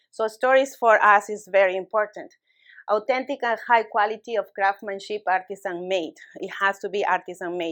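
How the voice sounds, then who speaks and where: A woman speaks with a Spanish accent at a moderate pace. Her pitch is medium. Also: quiet background. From Peru. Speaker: small business owner. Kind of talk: business presentation. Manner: halting.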